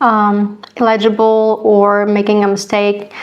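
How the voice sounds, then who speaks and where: A woman with an Eastern European accent talks in a fairly high pitch. Her pace is fairly slow. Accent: Slavic (Eastern European) accent in English. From Slavic-speaking country. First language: a Slavic language. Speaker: cross stitch vlogger. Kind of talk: casual vlog talk to camera. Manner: halting, many fillers and repeats.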